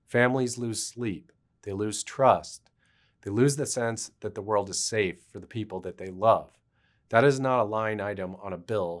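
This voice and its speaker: With an ordinary speaking voice, a man talks at a fairly low pitch and a moderate pace with fairly even intonation, in a very clean recording with a silent background. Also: big swings in loudness. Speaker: attorney. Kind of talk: legal explainer talk to camera.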